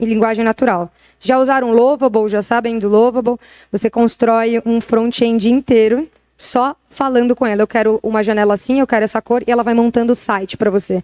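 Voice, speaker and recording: A woman's fairly high-pitched voice holds a very even loudness, with a dry, close sound and no echo. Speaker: retail tech executive. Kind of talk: interview talk on stage. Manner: fast; animated.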